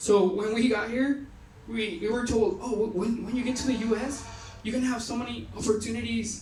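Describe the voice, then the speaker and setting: With a Mexican accent, the speaker moves at a fairly quick pace over noticeable background noise. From Mexico. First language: Spanish. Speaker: youth retreat speaker. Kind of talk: personal testimony talk. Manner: casual, halting with fillers.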